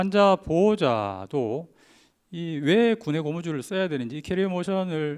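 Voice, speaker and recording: In a very clean recording with a silent background, a man talks at a moderate pace with a fairly high pitch and very wide pitch swings. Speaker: orthodontist giving a symposium talk. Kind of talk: lecture. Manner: frequent filler hesitations.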